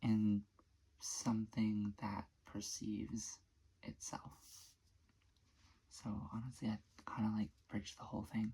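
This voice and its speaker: The speaker is soft-spoken and talks at a very slow pace. Long, frequent pauses break up the speech. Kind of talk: ASMR soft-spoken talk to camera. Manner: soft-spoken, sleepy.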